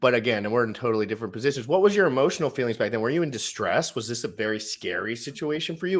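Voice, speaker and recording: An animated man with an American accent and lively intonation comes through in a very clean recording with a silent background. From US, Maryland. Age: 20s. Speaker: crypto livestream host. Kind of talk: casual livestream chat. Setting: livestream.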